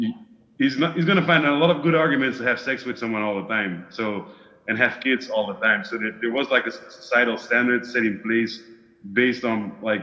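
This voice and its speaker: A man with a medium-pitched voice speaks fairly quickly with lively intonation. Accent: Flemish. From Belgium, Flemish part. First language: Dutch. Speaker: discussion group participant. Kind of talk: casual chat. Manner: halting, searching for words.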